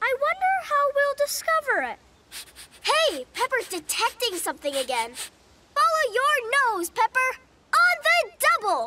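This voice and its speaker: In a cartoonish character voice at an extremely high pitch, the speaker moves at a moderate pace with very wide pitch swings. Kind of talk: children's educational cartoon. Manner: eager, upbeat.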